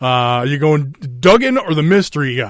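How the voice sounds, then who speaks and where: With a Minnesotan accent, a man speaks at a moderate pace in a fairly high pitch with lively intonation. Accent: Minnesota. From Minnesota, US. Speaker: wrestling podcast host. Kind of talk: casual chat. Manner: halting, many fillers.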